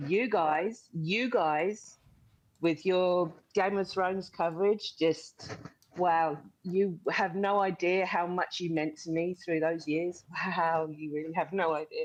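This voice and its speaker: A woman in a New Zealand accent, fairly low in pitch, very slow in pace, with fairly even intonation. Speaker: caller. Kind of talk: casual chat.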